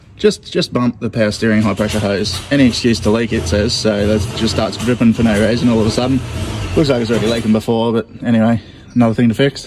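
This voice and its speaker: Music plays in the background as a man speaks at a very fast pace with fairly even intonation. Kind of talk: tutorial commentary. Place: street. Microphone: phone near.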